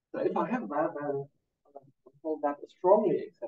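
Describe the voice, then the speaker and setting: A somewhat breathy man at a fairly slow pace, with very wide pitch swings. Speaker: mathematician. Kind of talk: lecture. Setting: conference talk with audience. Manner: halting, many fillers.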